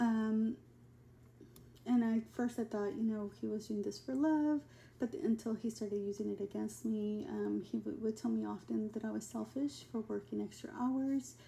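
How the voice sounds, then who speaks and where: Over noticeable background noise, the woman talks at a moderate speed. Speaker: abuse survivor and advocate. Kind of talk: personal testimony. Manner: halting, many fillers.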